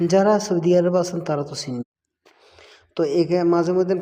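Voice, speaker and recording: A man's high voice, dark and mellow in tone, with fairly even intonation. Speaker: migrant worker vlogger. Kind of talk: casual vlog. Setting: at home at mealtime.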